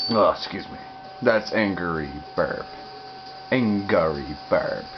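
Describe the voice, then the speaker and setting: Quiet and at a very slow pace, a man speaks amid noticeable background noise and audible room echo. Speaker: gaming youtuber. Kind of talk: gameplay commentary.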